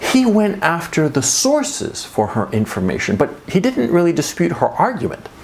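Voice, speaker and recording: Someone with an American accent talks at a moderate pace with hardly any pauses over noticeable background noise. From United States. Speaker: commentary youtuber. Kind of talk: monologue commentary. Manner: conversational with filler words.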